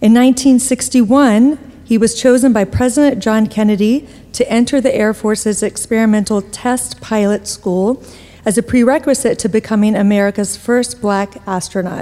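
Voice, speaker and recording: Fairly even intonation from a woman with a fairly high voice, moderate in pace, amid noticeable background noise. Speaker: event organizer introducing speakers. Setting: stage with audience.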